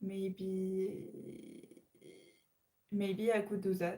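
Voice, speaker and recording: Here a woman speaks in a French accent with a dark, mellow tone. Her voice is somewhat breathy, and her intonation is monotone and flat. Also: medium pitch for a woman. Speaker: live streamer. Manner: hesitant, many fillers and repetitions.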